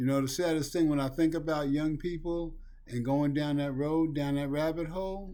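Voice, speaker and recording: A man with a dark, mellow tone and fairly high pitch speaks at a moderate pace with fairly even intonation, and there is audible room echo. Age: 60s. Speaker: recovery talk video host. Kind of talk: monologue on addiction recovery. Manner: earnest, emphatic.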